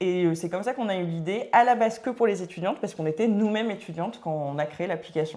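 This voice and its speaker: A woman's medium-pitched voice varies in an ordinary way as she talks very fast. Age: 30s. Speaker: entrepreneur, start-up founder. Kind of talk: casual podcast interview. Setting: podcast recording.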